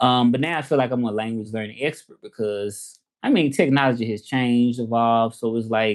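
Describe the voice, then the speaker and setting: Speaking at a moderate pace, a man with a Southern accent uses a medium pitch. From US South, Memphis, Tennessee. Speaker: language teacher and Spanish interpreter. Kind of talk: casual livestream chat. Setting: livestream. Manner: casual, halting with fillers.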